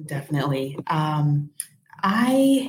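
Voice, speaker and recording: Here a woman speaks with a very deep, low pitch. Her voice is somewhat breathy. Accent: American. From US Midwest, Rockford, Illinois. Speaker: early childhood educator and children's author. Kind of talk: interview.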